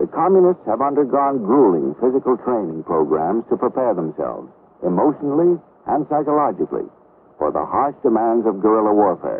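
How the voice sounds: A man at a fairly quick pace and fairly low pitch, with a slightly husky edge and big pitch swings.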